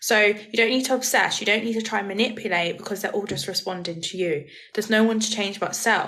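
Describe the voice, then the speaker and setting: Talking very fast with fairly even intonation, a woman with a medium pitch is heard with audible room echo. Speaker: manifestation coach. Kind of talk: live stream Q&A. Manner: casual.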